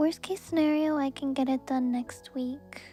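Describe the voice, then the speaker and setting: Soft-spoken and high-pitched, a woman talks with monotone, flat intonation as music plays in the background. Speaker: vtuber and ASMR creator. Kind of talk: casual live-stream talk.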